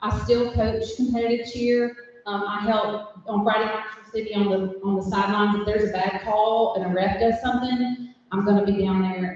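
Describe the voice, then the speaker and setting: Someone speaks at a moderate pace with a Southern US accent. Background noise is noticeable. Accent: Southern US (Georgia). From US South, LaGrange, Georgia. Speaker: middle school teacher. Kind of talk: speech to club audience. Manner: loud; animated.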